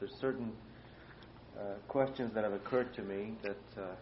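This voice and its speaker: This man has an ordinary speaking voice with ordinary pitch variation. His pace is moderate. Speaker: oral history interviewer. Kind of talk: interview question.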